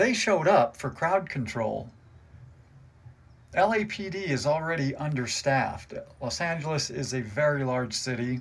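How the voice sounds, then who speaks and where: Someone with an American accent speaks at a moderate pace with lively intonation, somewhat breathy. Long, frequent pauses break up the speech. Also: man, fairly high pitch for a man. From United States. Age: 60s. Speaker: army veteran and truck driver giving political commentary. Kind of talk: political commentary monologue. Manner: angry, heated.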